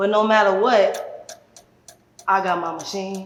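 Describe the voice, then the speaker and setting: Animated woman at medium pitch and moderate pace, with noticeable background noise and audible room echo. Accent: American. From Chicago, US Midwest. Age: 30s. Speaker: community activist. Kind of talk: podcast interview.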